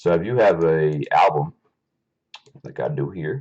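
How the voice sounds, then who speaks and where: This man's voice sits very deep and low, and he talks at a fairly slow pace. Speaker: tech tutorial youtuber. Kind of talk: tutorial. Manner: halting, many fillers; casual.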